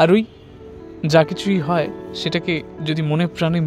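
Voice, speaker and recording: With music in the background, the man's voice sits fairly high in pitch. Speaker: late-night radio show host. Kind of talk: late-night radio show talk, casual chat to listeners.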